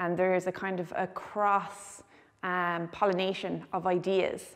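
Against a quiet background, a woman speaks with a western Irish accent. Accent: Irish (west of Ireland). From Ireland, Galway; Ireland. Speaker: visual artist. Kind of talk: gallery tour interview. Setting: art gallery. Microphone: lapel.

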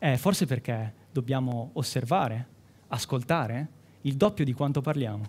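At a fairly slow pace, a man speaks in a somewhat breathy voice with a medium pitch and ordinary pitch variation. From Umbria, Italy (Città di Castello, Perugia). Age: 20s. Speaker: medical student, science communication contestant. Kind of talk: timed science talk for a competition. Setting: stage with audience. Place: hall.

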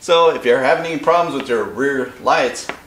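A man moves at a fairly quick pace, his voice carrying audible room echo. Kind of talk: tutorial. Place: garage. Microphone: camera far.

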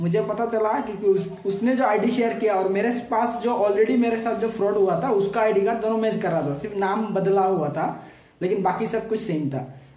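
A man speaks with a high-pitched voice, and audible room echo surrounds it. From Assam, India. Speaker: vlogger warning about a scam. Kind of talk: casual vlog talk to camera. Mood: earnest warning. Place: home room. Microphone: phone near.

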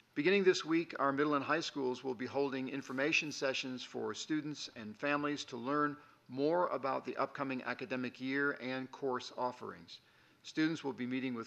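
Here is a man with a bright, sharp tone. His pitch varies in an ordinary way. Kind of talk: formal report announcements. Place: meeting room. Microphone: podium.

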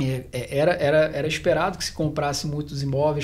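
A man talks at a fairly quick pace. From Rio de Janeiro, Brazil. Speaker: financial planner; guest. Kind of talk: panel discussion. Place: meeting room. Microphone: studio mic.

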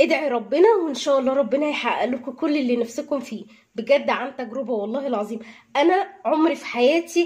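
High-pitched female speech in quiet surroundings. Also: moderate pace. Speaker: housewife vlogger. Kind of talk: casual vlog chat. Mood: earnest, heartfelt. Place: kitchen. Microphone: phone near.

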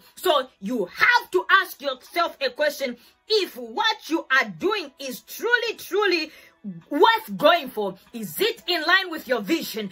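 A woman speaks in a raised, projected voice at a fairly slow pace, her loudness swinging widely. Faint music plays in the background. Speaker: faith teacher. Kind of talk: sermon. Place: home room.

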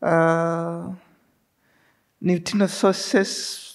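In a slightly mellow tone, a woman speaks very slowly at a fairly low pitch.

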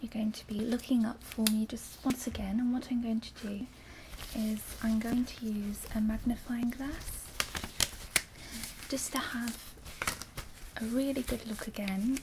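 Over noticeable background noise, a soft-spoken woman with a gentle tone and fairly even intonation talks at a fairly slow pace with long, frequent pauses. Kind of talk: roleplay examination instructions. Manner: soft, gentle ASMR examiner voice. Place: home room.

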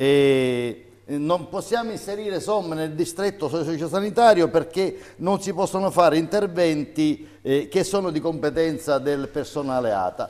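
A man speaks with a high pitch and lively intonation. The background is quiet. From Sicily. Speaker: mayor. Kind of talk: political statement, interview excerpt. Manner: halting. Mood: firm, critical, indignant at end. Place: studio. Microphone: lapel.

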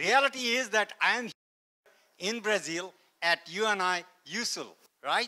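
Raising and projecting his high-pitched voice, a man speaks very slowly with a bright, sharp tone, ordinary pitch variation, and long, frequent pauses. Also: quiet background. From India, Kashmir. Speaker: NASA scientist; guest lecturer. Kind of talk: lecture. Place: hall.

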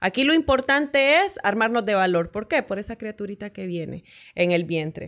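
Over a quiet background, a woman speaks at a moderate pace, her pitch swinging very widely. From Honduras, Danlí; Honduras. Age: 40s. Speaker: sports broadcaster; podcast guest. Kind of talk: interview. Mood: warm, earnest, encouraging. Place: studio. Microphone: studio mic.

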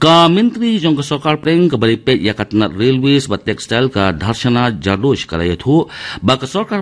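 At a moderate pace, a man with a medium pitch speaks with very wide pitch swings. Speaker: radio newsreader. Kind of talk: news reading. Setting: studio. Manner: formal; steady, even-paced bulletin delivery. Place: studio.

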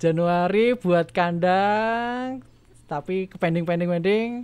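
A man speaks at a very slow pace in a high-pitched voice. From Yogyakarta region, Indonesia; Indonesia. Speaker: primary school teacher and rabbit farmer; primary school teacher, rabbit farmer. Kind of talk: casual interview chat. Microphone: studio mic.

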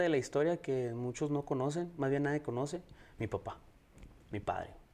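Pitch varies in an ordinary way as the speech proceeds at a moderate speed. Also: man. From El Paso, Texas; Texas. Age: 30s. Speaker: singer-songwriter; guest. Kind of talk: interview. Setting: live stream. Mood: calm, personal storytelling. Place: studio. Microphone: lapel.

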